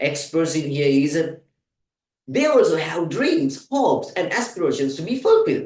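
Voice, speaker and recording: With audible room echo, a man with a fairly high pitch speaks at a fairly slow pace. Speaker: English teacher. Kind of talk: tutorial.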